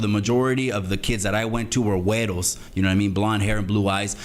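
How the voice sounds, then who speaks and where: Man speaking at a fairly quick pace, with audible room echo and noticeable background noise. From Salinas, California. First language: Spanish. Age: 40s. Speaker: YouTuber telling his life story. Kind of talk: casual interview chat. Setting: live stream.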